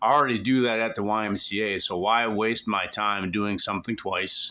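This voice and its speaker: Loud and bright, sharp in tone, a man speaks at a moderate pace with a fairly low pitch and fairly even intonation. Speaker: vlogger. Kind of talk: casual vlog monologue. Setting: at home on couch. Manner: bombastic, intense.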